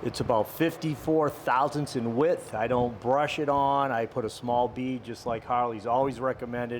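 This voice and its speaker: Noticeable background noise runs under a man's medium-pitched voice. He speaks with fairly even intonation and hardly any pauses. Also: moderate pace. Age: 60s. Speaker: motorcycle mechanic. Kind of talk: tutorial. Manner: casual.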